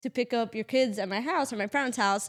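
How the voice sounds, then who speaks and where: A woman speaks at a fairly quick pace with a Portuguese accent and ordinary pitch variation. The recording is very clean, with a silent background. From Portugal. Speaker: real estate agent, podcast co-host. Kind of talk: casual chat.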